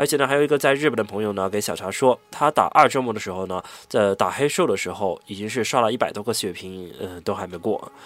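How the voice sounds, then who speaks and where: Speaking at a very fast pace with hardly any pauses, a man uses a fairly low pitch and lively intonation. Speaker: podcast host. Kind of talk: scripted narration; casual chat.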